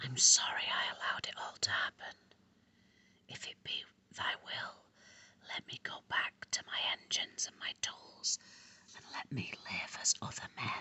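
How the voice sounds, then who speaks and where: The speaker is whispering at a fairly slow pace. Long, frequent pauses break up the speech. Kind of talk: ASMR book reading. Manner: whispered.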